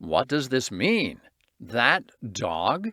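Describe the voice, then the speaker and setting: A man puts on a character voice at a medium pitch with very wide swings, recorded dry and close with no echo. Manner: angry, demanding.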